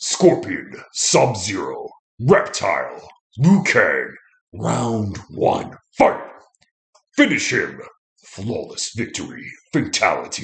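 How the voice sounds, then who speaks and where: Using a put-on character voice, the speaker goes at a very slow pace with long, frequent pauses. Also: man. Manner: booming, dramatic.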